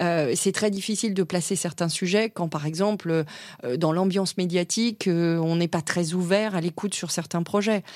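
A woman speaks in a normal speaking voice, fairly low-pitched, with fairly even intonation at a moderate pace. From Africa (expat childhood), schooled in France. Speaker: corporate lawyer. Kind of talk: interview.

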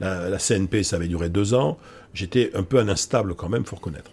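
Somewhat breathy, with a dark, mellow tone, a man with a very deep, low pitch speaks at a fairly quick pace and with ordinary pitch variation. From Bordeaux, France. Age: 60s. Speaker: psychology professor and public speaker. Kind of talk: casual interview. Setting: office. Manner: hesitant, many fillers.

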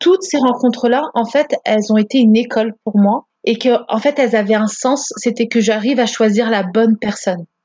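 At a moderate pace, a woman with a fairly high pitch speaks with ordinary pitch variation. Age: 30s. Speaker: podcast guest sharing her marriage story. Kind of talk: personal testimony in casual interview. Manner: animated.

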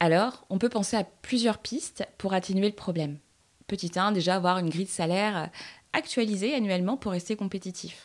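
The recording is very clean, with a silent background. A woman with an unremarkable speaking voice talks at a fairly quick pace, with a medium pitch and ordinary pitch variation. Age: 30s. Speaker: podcast host. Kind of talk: scripted narration; interview.

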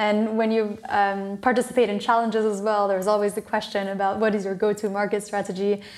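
Speaking at a very fast pace with hardly any pauses, a woman with an American accent keeps a medium pitch and monotone, flat intonation. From Maryland, US (French international school). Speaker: hydrogen startup founder. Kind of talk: interview.

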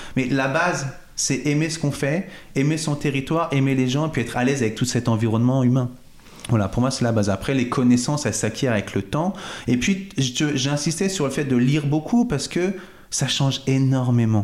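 Ordinary pitch variation at a fairly quick pace. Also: man, medium pitch for a man. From Paris suburbs, Val-de-Marne. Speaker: real estate agent. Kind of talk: interview. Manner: animated.

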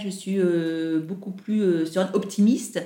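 At a fairly slow pace, a woman speaks with a medium pitch and a dark, mellow tone. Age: 50s. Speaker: airline employee. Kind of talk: interview. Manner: hesitant, many fillers.

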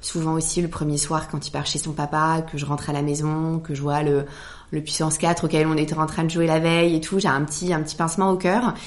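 Through noticeable background noise, a woman with a very deep, low voice speaks fairly quickly in a flat, monotone way. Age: 40s. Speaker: hotelier. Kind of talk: casual chat.

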